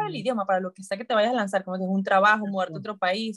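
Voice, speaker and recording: A woman's voice, recorded dry and close with no echo. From Venezuela, Maracay. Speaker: dietitian and former Olympic swimmer. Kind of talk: interview conversation. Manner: fast.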